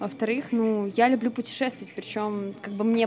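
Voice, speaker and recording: A woman speaks with a fairly high pitch. There is noticeable background noise behind her. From Russia, Vladimir. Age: 20s. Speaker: bartender. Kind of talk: casual interview chat.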